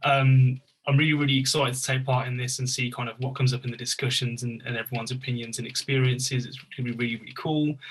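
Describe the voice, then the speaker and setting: With a Birmingham accent, a man at a medium pitch talks at a very fast pace with hardly any pauses, in a monotone, flat, somewhat breathy delivery. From Birmingham, England. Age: 20s. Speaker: youth engagement worker, panelist. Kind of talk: panel discussion.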